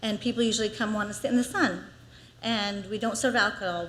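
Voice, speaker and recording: A woman's fairly quick speech with audible room echo. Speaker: small business owner giving public comment. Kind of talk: public comment at council meeting. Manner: fast.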